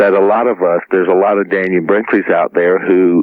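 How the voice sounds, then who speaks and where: A man's very deep, low voice with a Southern US accent. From US South, South Carolina. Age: 40s. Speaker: near-death experiencer, former Marine. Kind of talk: radio interview. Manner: halting.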